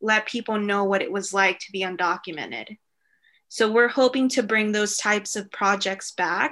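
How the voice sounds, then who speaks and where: Her tone bright and sharp, a woman speaks at a medium pitch and a moderate pace with ordinary rise and fall. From Mexico, Acapulco; moved to US at seven. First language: Spanish. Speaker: library resource coordinator and immigrant rights advocate. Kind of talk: podcast interview.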